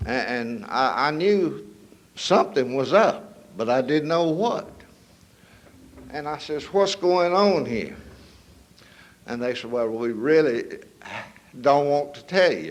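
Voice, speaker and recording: In a North Carolina accent, a man speaks very slowly with long, frequent pauses, a fairly high pitch, lively intonation and big swings in loudness, in a room with audible echo. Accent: Southern US, North Carolina. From US South, northern North Carolina. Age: 70s. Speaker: recovery speaker. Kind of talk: testimony. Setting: stage with audience.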